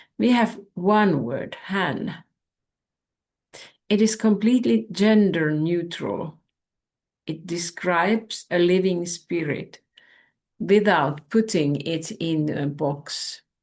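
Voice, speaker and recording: Against a quiet background, a woman with a Finnish accent speaks at a fairly low pitch with lively intonation. Her pace is very slow, with long, frequent pauses. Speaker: spiritual teacher. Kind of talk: spiritual talk.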